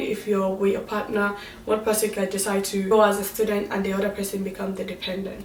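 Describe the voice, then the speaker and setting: Amid noticeable background noise and audible room echo, a woman at a medium pitch talks at a fairly quick pace. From Nigeria. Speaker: vlogger. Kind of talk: casual vlog talk.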